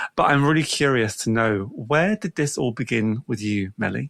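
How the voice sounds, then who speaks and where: A man with a British accent and lively intonation at a moderate pace, in a dry, close sound with no echo. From England. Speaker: podcast host. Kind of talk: casual interview.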